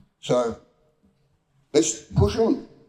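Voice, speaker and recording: A man talks with a dark, mellow tone and lively intonation. His voice is somewhat breathy. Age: 80s+. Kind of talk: panel discussion. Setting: town hall forum with audience.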